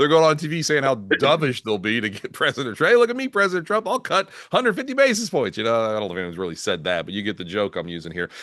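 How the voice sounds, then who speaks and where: Over a quiet background, a man talks very fast with hardly any pauses, his fairly high pitch swinging very widely in a bright, sharp tone with vocal fry. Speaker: market strategist. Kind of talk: casual chat. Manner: animated.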